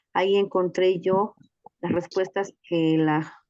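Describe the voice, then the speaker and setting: A woman with a Mexican accent and fairly even intonation. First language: Nahuatl (speaking Spanish). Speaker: teacher and reading mediator. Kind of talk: testimony in a teachers' workshop session.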